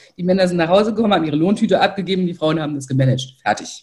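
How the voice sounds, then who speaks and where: Her voice is somewhat breathy, with a dark, mellow tone at medium pitch. The woman's intonation is lively. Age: 50s. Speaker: financial educator and author. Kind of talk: interview. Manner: animated.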